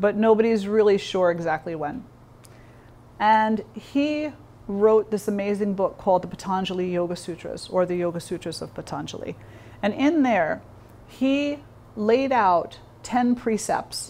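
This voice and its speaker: A woman speaks at a fairly slow pace in a dark, mellow tone. She leaves long, frequent pauses. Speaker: yoga teacher. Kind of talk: lecture. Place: hall.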